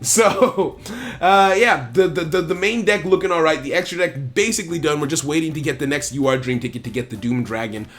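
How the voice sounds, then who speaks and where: A man speaks at a fairly quick clip with an animated, lively lilt and fairly high pitch. Noticeable background noise sits behind him. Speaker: gaming YouTuber. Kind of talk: casual gameplay commentary. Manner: halting, repeats words.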